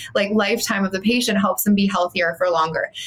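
In a Canadian accent, a woman speaks at a medium pitch with ordinary pitch variation, with noticeable background noise behind her. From Canada, Calgary. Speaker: dental practice coach. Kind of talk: interview.

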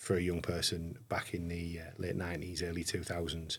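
Breathiness shows somewhat in the voice. Delivery unfolds at a fairly slow pace. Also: man. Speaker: podcast host, police commissioner. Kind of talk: interview. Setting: on location in Middlesbrough.

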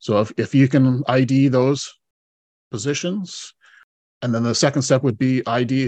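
Over a quiet background, a man with a Canadian accent talks at medium pitch in a normal speaking voice. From British Columbia, Canada. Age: 40s. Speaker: retired fire chief and executive coach. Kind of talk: interview conversation. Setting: remote from home.

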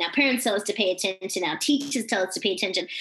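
Very fast-paced speech from a woman, with noticeable noise in the background. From Australia. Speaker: keynote speaker and author. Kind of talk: interview. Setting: remote call.

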